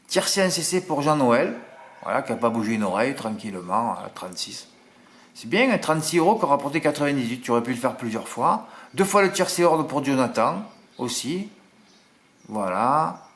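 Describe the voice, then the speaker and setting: A man speaks at a fairly high pitch with very wide pitch swings and vocal fry. Long, frequent pauses break up his speech. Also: moderate pace. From southern France (Marseille). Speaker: horse racing tipster. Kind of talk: casual chat to viewers, reading comments. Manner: animated, chatty.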